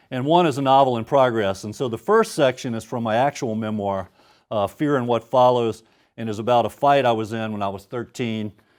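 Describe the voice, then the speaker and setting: A man with a Louisiana accent at medium pitch and a fairly quick pace, with ordinary pitch variation, on a very clean recording with a silent background. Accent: Southern US (Louisiana). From US South, Baton Rouge, Louisiana. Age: 50s. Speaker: author. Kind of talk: author talk before a reading. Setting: stage with audience. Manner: casual, hesitant with many fillers.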